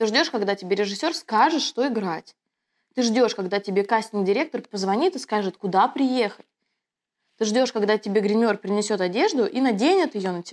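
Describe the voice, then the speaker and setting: In a very clean recording with a silent background, a woman with an unremarkable speaking voice talks at a moderate pace in a fairly high pitch with lively intonation. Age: 30s. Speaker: producer of online schools, actress. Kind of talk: casual interview chat.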